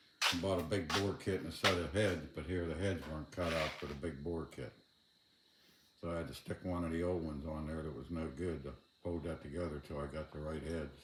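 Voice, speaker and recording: A man speaks at a very deep, low pitch with vocal fry. His intonation stays fairly even. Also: fairly quick pace. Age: 60s. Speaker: DIY mechanic. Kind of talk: casual tutorial. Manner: casual, halting.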